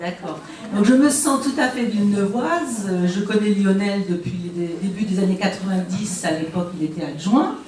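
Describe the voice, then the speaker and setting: Amid noticeable background noise and audible room echo, a woman with a medium pitch speaks with lively intonation. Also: moderate pace. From southern France, Villeneuve-Loubet (Côte d'Azur). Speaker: resident asking questions, former parents' association member. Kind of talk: question at a public meeting.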